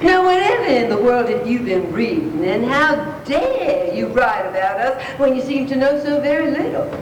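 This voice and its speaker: Noticeable background noise sits under a woman's voice. She speaks at a high pitch with very wide pitch swings. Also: moderate pace. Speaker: actress. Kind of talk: live story reading to an audience. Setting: live event hall.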